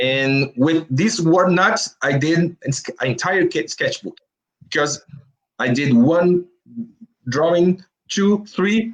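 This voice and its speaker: This man's voice is high-pitched with a Brazilian Portuguese accent. His intonation is lively and his pace very slow. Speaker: comic book artist. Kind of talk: interview. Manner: halting.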